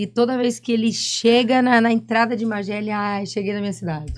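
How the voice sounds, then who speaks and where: Speaking at a moderate pace, a woman has a Bahian accent. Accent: Bahian accent, noticeable. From Brazil, Salvador (Bahia). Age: 30s. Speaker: reality show participant, saleswoman. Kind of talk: podcast interview, casual chat.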